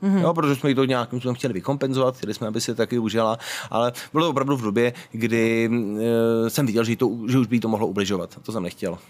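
Very fast speech from a man at a medium pitch, with ordinary pitch variation and music in the background. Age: 40s. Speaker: BDSM event organizer and club co-owner. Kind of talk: casual interview. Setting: outdoors.

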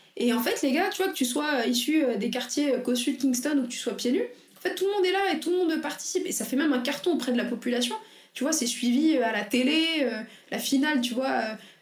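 Amid audible room echo, a woman talks at a fairly quick pace in a high pitch with lively intonation. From France, banlieue. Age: 20s. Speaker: entrepreneur. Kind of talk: casual interview chat.

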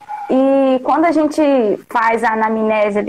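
A woman talks at a moderate speed, her fairly high pitch showing ordinary variation. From Rio de Janeiro state interior. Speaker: nutritionist. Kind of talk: casual chat. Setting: live call on stream.

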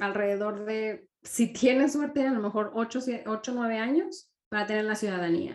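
Her pitch sits fairly high. The woman talks at a very slow pace. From Mexico. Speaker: entrepreneur, marketing consultant. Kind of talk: interview.

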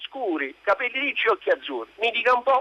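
A man projects a raised, high-pitched voice at a fairly quick pace in a dry, close sound with no echo. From Naples, southern Italy. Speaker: radio caller. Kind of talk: phone-in call. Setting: phone call.

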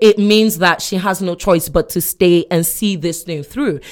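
At a moderate pace, a woman with a normal speaking voice and a fairly low pitch talks with ordinary pitch variation. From Nigeria and US (born Chicago, raised in Nigeria). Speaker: podcast guest. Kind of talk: casual discussion.

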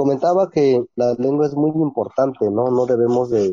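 A man speaks at a fairly slow pace. His pitch sits in the middle range. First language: Ombeayiüts (Ikoots) (speaking Spanish). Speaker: teacher and writer. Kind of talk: interview.

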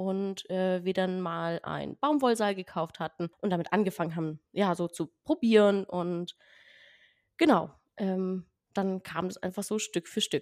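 A woman with a plain, everyday voice speaks at a medium pitch and a fairly slow pace with ordinary pitch variation, in a very clean, dry, close recording with a silent background and no echo. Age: 20s. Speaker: podcast guest. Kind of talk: casual interview.

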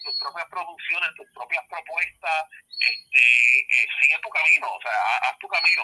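At a fairly slow pace, a man speaks with big swings in loudness. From Puerto Rico (Ponce/Adjuntas). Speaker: wrestling analyst and podcaster. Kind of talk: casual interview. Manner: halting, many fillers.

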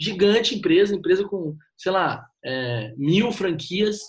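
The man speaks with lively intonation. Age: 20s. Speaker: copywriter and marketing consultant. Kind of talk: casual chat.

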